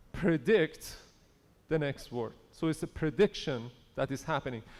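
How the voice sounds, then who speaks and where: A man with a non-native accent speaks at a fairly slow pace. His intonation is lively. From Iran. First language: not English. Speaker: conference speaker on AI. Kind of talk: conference talk. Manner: conversational.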